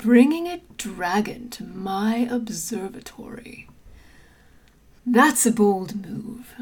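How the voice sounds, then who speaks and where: A woman puts on a character voice. She speaks at a very slow pace. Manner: theatrical, menacing, then exasperated and familiar.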